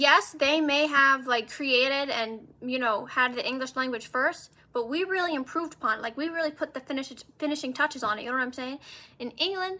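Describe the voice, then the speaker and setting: With a New Jersey accent, a woman talks at a very fast pace in a raised, projected voice, her tone bright and sharp, her pitch high and her intonation fairly even. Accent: American, New Jersey. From US, New Jersey. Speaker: vlogger. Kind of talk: casual monologue. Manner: casual, filler-heavy.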